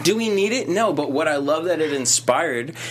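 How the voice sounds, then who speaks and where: Amid noticeable background noise, a man with an American accent speaks in an animated tone. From Boston. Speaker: late night talk show host. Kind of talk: casual chat. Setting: studio.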